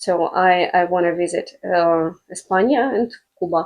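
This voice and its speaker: A woman with a Russian accent and a medium pitch. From Russian Far East, Blagoveshchensk. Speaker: language teacher, business owner. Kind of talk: casual interview. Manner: halting, many fillers.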